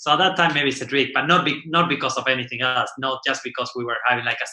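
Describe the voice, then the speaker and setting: In an Argentinian accent, a man talks at medium pitch with ordinary pitch variation and a bright, sharp tone. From Argentina. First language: Spanish. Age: 40s. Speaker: windsurfing champion and class manager. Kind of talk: podcast interview. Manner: halting, many fillers and repetitions.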